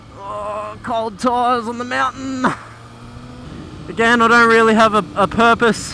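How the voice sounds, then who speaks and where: A man with an Australian accent talks in a raised, projected voice. His pace is fairly slow, and there is noticeable background noise. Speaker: motorcycle vlogger. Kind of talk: casual vlog narration. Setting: outdoors riding a motorcycle. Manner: hesitant, many fillers.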